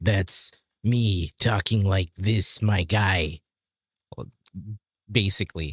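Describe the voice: A man's raspy, put-on character voice, fairly low in pitch, at a very slow pace with long, frequent pauses, on a very clean recording with a silent background.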